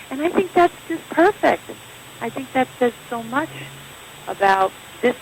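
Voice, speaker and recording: Noticeable background noise sits under this woman's voice. Her pitch swings very widely. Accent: American. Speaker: actress. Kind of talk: interview answer.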